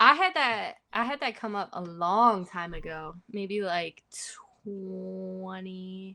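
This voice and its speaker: Using a normal speaking voice, a woman talks in a medium pitch with ordinary pitch variation. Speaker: musician and podcast co-host. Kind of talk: casual chat.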